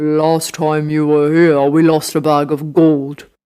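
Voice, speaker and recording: A man's put-on character voice, fairly high-pitched and monotone with flat intonation, at a fairly slow pace. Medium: read story. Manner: motherly.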